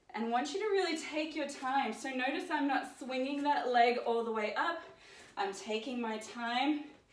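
With audible room echo around her, a woman speaks at a fairly slow pace in a high pitch. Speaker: fitness instructor. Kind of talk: workout instruction. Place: home room. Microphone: camera far.

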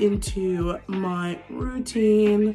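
A woman's fairly even intonation over faint music in the background. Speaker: vlogger. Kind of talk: casual vlog chat. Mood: relaxed, chatty. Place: home room. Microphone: phone near.

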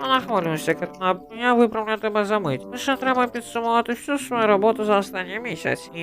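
Over clear music in the background, a put-on character voice races at a very fast pace with a fairly high pitch. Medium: fan dub. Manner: earnest, serious.

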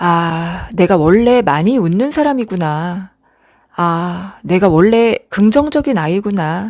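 A woman speaks at medium pitch with very wide pitch swings. Her tone is soothing and gentle. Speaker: late-night radio-style ASMR host. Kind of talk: late-night radio comfort talk. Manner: soft, soothing, gentle.

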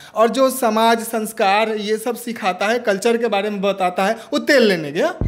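Speaking at a fairly slow pace, a man uses a high voice. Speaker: interviewee. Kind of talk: satirical interview answer. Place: studio. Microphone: handheld.

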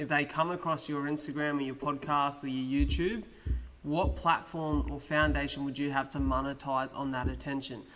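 A man with an Australian accent, fairly high in pitch, at a moderate pace. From Australia (Wollongong, NSW). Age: 20s. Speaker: podcast host. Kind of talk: casual chat. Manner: fluent. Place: studio. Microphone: studio mic.

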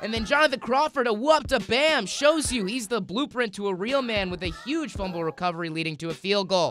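Against noticeable background noise, a man with a high voice talks at a fairly quick pace with lively intonation and an upbeat, playful tone. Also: hardly any pauses. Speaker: sports commentator. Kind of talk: comedic sportscast update.

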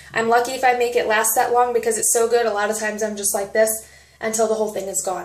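A woman rushes along at a very fast pace in a monotone, flat delivery, with audible room echo. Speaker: nutrition product coach. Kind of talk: casual vlog chat. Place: home room. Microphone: phone near.

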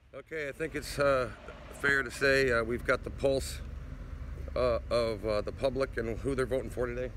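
A man at a moderate pace, dry sound with no echo, and light background noise. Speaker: selfie vlogger. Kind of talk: casual vlog chat. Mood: jokey, upbeat. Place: street. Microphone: phone near.

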